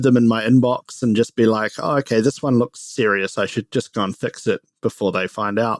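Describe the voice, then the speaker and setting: A man with a New Zealand accent talks at a fairly quick pace in a medium pitch, his voice dry and close with no echo. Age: 30s. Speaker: startup co-founder and CEO. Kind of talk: casual interview chat.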